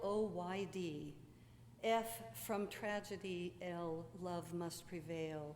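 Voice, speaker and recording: This is a woman speaking. Her pitch is medium. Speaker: pastor. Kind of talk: sermon.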